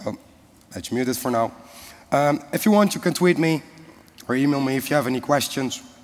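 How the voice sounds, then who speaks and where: A man at a fairly high pitch speaks fairly quickly with ordinary pitch variation and long, frequent pauses, over noticeable background noise. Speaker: conference speaker. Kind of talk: technical presentation. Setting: conference stage with audience.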